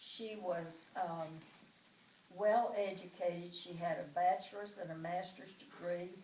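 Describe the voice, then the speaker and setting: A woman with an Arkansas accent speaks at a fairly slow pace in a medium pitch, her intonation monotone and flat. Noticeable background noise and audible room echo surround her. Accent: Southern US (Arkansas). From US South, Arkansas (Pine Bluff). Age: 80s+. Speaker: oral history interviewee. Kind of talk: oral history testimony.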